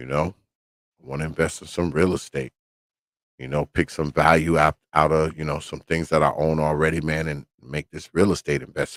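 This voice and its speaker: With vocal fry and monotone, flat intonation, the speaker keeps a moderate pace but swings widely in loudness. The sound is dry and close, with no echo. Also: man, very deep, low pitch for a man. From New York. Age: 50s. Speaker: podcast host. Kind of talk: casual monologue on livestream. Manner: casual, profane.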